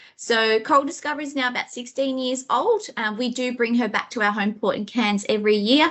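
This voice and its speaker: With an Australian accent, the speaker moves at a fairly quick pace, with ordinary pitch variation and hardly any pauses. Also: woman, high pitch for a woman. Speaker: sales manager presenting a travel webinar. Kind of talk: webinar presentation. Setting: live online webinar from head office.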